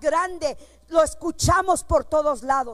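Her intonation is lively. The woman delivers her words in an animated tone. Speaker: preacher. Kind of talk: sermon. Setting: church.

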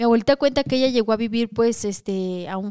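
A woman talks at a fairly quick pace in a normal speaking voice. Her pitch is fairly high, with lively intonation. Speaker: podcast host. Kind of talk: casual chat podcast, live stream.

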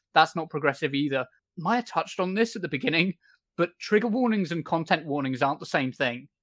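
Here is a normal speaking voice from a man, fairly high-pitched and at a fairly quick pace with lively intonation. The recording is very clean with a silent background, and the sound is dry and close with no echo. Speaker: podcast host. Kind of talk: casual commentary podcast.

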